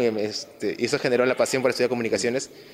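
Male speaker with fairly even intonation. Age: 20s. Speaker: comic shop owner. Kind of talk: casual interview.

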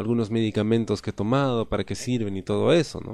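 A man speaks at medium pitch with a dark, mellow tone. The background is quiet. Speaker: podcast host. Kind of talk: casual monologue.

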